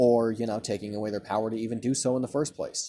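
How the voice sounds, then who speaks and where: Fairly quick in pace, a man speaks with fairly even intonation. His tone is dark and mellow. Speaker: vlogger. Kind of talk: opinion monologue. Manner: stuttering, halting.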